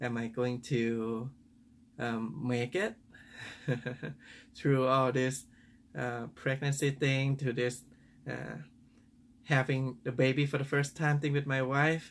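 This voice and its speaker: Very slow and marked by long, frequent pauses, the man's speech keeps a fairly even intonation. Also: medium pitch for a man. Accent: Thai. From Thailand. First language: Thai. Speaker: father. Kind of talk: personal reflective talk to camera. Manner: hesitant, thoughtful.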